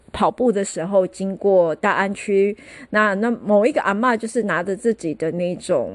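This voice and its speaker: Speaking with a Taiwanese accent, a woman uses a medium pitch and ordinary pitch variation at a fairly slow pace. The sound is dry and close with no echo over a quiet background. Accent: Taiwanese Mandarin. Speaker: podcast host. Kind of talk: casual solo podcast monologue. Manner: chatty, many filler particles.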